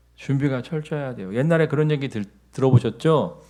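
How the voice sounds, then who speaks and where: This man's fairly high voice has a dark, mellow tone and ordinary pitch variation. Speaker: pastor. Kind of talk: sermon.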